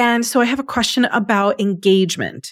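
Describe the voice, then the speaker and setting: A woman speaks with a fairly high pitch. She keeps a moderate pace. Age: 50s. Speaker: podcast host. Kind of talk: interview. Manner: animated.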